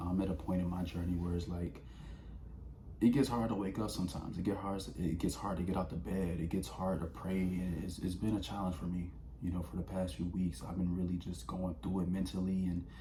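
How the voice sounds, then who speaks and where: Audible room echo surrounds a man with a very deep, low voice who talks at a fairly quick pace with ordinary pitch variation. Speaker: vlogger. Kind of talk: casual motivational talk. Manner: fast.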